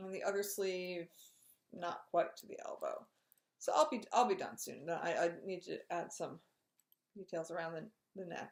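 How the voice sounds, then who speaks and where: A woman mumbling, with big swings in loudness and long, frequent pauses. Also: moderate pace. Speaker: knitting podcaster. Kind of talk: casual chat.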